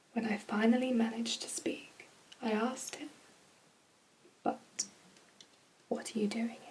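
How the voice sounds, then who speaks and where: The speaker has a British accent and fairly even intonation, with light background noise. The pace is moderate, with long, frequent pauses. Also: woman, fairly high pitch for a woman. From UK. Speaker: ASMR creator. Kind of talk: bedtime story reading. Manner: soft-spoken, whispering. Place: home room. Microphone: phone near.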